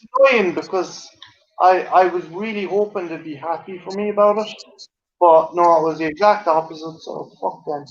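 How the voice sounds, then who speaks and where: With an Irish accent, a man speaks at a moderate pace in a high voice, keeping his intonation fairly even while his loudness swings a lot. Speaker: live stream guest. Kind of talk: casual chat. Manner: halting, repeats words.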